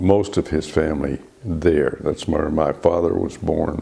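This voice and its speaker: Over noticeable background noise, a man with a West Texas accent speaks at a very deep, low pitch. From Texas Panhandle. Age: 80s+. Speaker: retired naturalist volunteer. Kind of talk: oral history interview.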